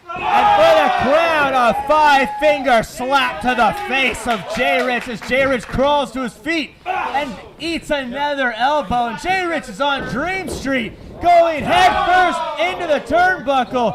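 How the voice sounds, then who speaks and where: A man with an extremely high pitch, lively intonation and a very slow pace, amid noticeable background noise. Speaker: wrestling announcer and commentator. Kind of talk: live wrestling match call.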